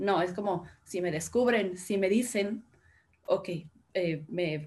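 Somewhat breathy, a woman speaks at a very slow pace with medium pitch and ordinary pitch variation. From Guadalajara, Jalisco, Mexico. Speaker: philosophy graduate. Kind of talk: discussion panel.

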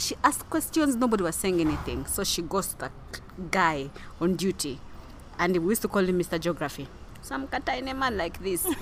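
A woman's medium-pitched voice with very wide pitch swings, at a fairly quick pace. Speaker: podcast co-host. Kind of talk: casual chat. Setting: recorded standing, outside studio.

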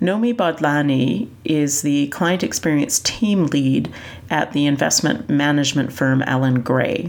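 With noticeable background noise behind her, a woman with a Canadian accent and a very deep, low pitch speaks at a fairly slow pace, her intonation lively and her loudness very even. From Canada. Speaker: podcast host. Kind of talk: podcast narration and interview.

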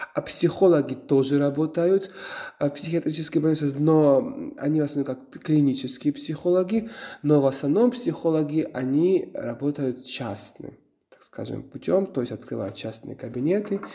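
Here a man speaks with a Georgian accent at a moderate pace and fairly high pitch. His intonation is lively, and his loudness swings widely. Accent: Georgian-accented Russian. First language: Georgian (speaking Russian). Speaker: psychotherapist. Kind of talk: interview. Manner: halting.

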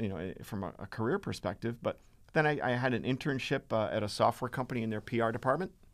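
A man talks at a very fast pace with an American accent. His pitch sits in the medium range and his intonation is lively. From Massachusetts. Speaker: university writing lecturer. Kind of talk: casual interview.

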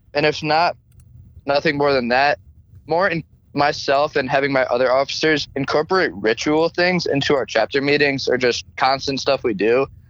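A man talks at a moderate pace in an unremarkable speaking voice, fairly high in pitch. His loudness is very even, and his pitch varies in an ordinary way. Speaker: fraternity chapter president. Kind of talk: interview.

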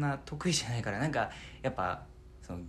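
A man's voice with very wide pitch swings. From Fukuoka, Japan. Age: 20s. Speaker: theatre troupe member, aspiring voice actor. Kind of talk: casual chat.

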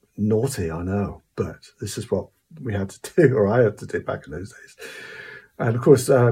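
In a Cornish accent, a man with a dark, mellow tone and vocal fry speaks at a fairly quick pace, his medium pitch showing ordinary variation. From Cornwall. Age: 60s. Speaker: musician. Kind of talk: casual storytelling monologue. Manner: hesitant, many fillers.

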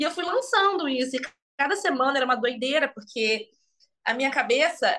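A woman speaks fairly quickly in a high pitch with lively intonation. Her tone is bright and sharp, her voice raised and projected. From Brazil, Magé (Rio de Janeiro state). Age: 20s. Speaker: actress. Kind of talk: casual interview. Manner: animated.

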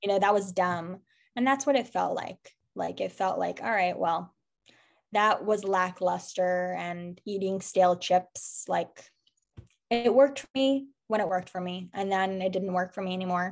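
An ordinary speaking voice, with ordinary pitch variation and a moderate pace. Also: woman, medium pitch for a woman. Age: 20s. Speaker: sober community founder. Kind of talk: casual interview.

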